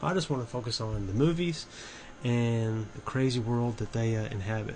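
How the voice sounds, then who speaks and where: A man at medium pitch and a moderate pace, with ordinary pitch variation and audible room echo. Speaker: horror movie YouTuber. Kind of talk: casual video commentary. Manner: halting, with many fillers and restarts.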